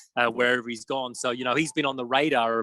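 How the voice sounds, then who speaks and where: With an Australian accent, a man speaks in a bright, sharp tone, the sound dry and close with no echo. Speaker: football journalist. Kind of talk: interview. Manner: halting, many fillers.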